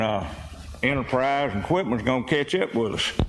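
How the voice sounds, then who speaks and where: A man with a Mississippi accent speaks at a medium pitch with ordinary pitch variation. Background noise is noticeable. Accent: Mississippi Southern. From Mississippi, Meridian. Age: 70s. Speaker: community member speaking at public meeting. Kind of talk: public comment. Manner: halting.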